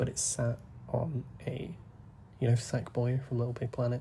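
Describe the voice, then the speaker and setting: Soft-spoken and somewhat breathy, a man with a British accent talks in a dark, mellow tone. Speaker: gaming YouTuber. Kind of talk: gameplay commentary. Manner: soft-spoken, holding back volume; rambling, hesitant.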